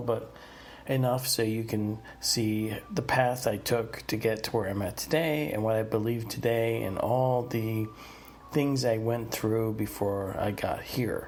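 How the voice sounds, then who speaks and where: A man with an American accent talks at a fairly slow pace with fairly even intonation. Audible room echo surrounds his voice. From US Northeast (New Jersey, Pennsylvania, New York area). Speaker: podcast host. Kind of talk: personal storytelling monologue. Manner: casual, many filler words.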